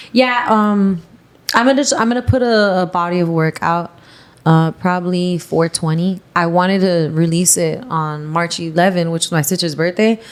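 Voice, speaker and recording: Woman with a Miami accent, fairly low pitch and ordinary pitch variation, at a moderate pace. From Miami, Florida. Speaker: model and singer. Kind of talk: casual chat.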